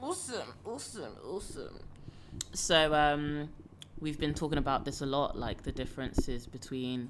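A woman's very deep, low voice with lively intonation at a moderate pace. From Nigeria. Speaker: podcast host. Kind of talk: casual chat.

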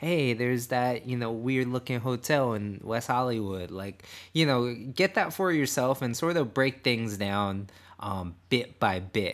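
A man talks at a fairly slow pace in a medium pitch. His pitch varies in an ordinary way. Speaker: podcast host and runner. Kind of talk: pep talk, casual running advice. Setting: studio podcast. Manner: upbeat, encouraging, animated.

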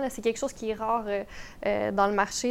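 On a very clean recording with a silent background, a woman speaks at a fairly high pitch in a monotone, flat way. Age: 20s. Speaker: real estate investor. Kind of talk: podcast interview.

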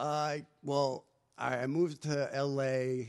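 A man talks in a New Jersey accent. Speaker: stand-up comedian. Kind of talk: casual chat.

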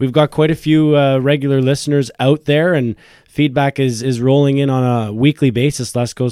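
A man talks at a fairly quick pace with a dark, mellow tone. His intonation stays fairly even.

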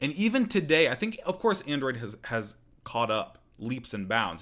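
A man talks at a moderate pace in a plain, everyday voice, with lively intonation. The recording is very clean, with a silent background. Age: 20s. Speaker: podcast host. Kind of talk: solo tech news podcast. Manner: casual, conversational.

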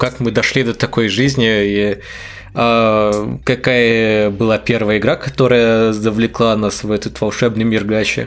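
Fairly slow speech from a man at medium pitch, over noticeable background noise. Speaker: podcast co-host. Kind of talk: casual chat.

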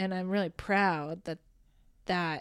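A woman at a fairly low pitch and moderate pace, on a very clean recording with a silent background. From Alberta, Canada (Rocky Mountain House). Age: 30s. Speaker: improv theatre director and performer. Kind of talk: casual chat.

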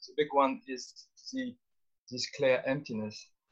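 At a fairly slow pace, a man speaks somewhat breathily at medium pitch with ordinary pitch variation. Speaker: philosophy teacher. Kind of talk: online group discussion. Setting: video call.

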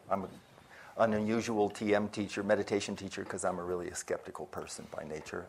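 Here is a man with an ordinary speaking voice and a fairly low pitch. He talks at a moderate pace. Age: 60s. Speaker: meditation teacher. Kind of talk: panel discussion. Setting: stage with audience.

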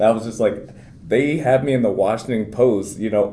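With an unremarkable speaking voice and an American accent, a man talks at a medium pitch and a fairly quick pace, varying his pitch in an ordinary way. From Maryland, US. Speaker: Paralympic wheelchair basketball player. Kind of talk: interview.

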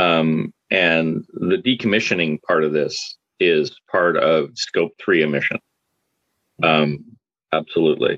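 At a very slow pace, a man with a Canadian accent keeps his loudness very even in a dry, close sound with no echo. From Canada, Calgary. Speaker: systems integrator engineer. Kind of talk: casual panel discussion. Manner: halting, many repetitions.

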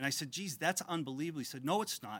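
Over a silent background in a very clean recording, a man with a Massachusetts accent speaks at a fairly high pitch. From Methuen, Massachusetts. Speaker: board of trustees chair. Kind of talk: ceremony speech.

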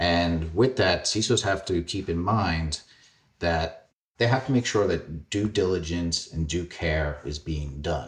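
Against a quiet background, a man with a New York accent speaks at a fairly slow pace in a very deep, low, somewhat breathy voice with ordinary pitch variation. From Queens, New York. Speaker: cybersecurity executive. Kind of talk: interview.

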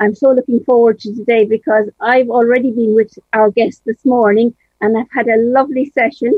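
A woman's fairly high voice, flat and monotone, at a moderate pace. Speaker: radio host. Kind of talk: radio talk show. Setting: radio studio.

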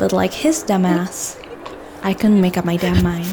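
There is noticeable background noise as a woman speaks. She talks at a fairly slow pace with ordinary pitch variation. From Indonesia. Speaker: audio drama narrator and actor. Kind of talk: first-person audio drama narration, emotional and confessional. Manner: animated, breathless and urgent, voicing anger and tears, with laughs.

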